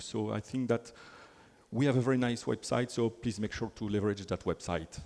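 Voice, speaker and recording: At a moderate pace, a man with a French accent talks at a medium pitch with ordinary pitch variation. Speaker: software developer advocate. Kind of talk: conference talk.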